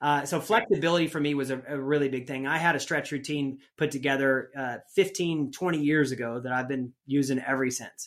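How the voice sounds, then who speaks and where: This man has a fairly high pitch and ordinary pitch variation. He talks at a fairly quick pace in a very clean recording with a silent background. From US Midwest. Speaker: rodeo athlete and entrepreneur. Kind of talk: casual interview. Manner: animated.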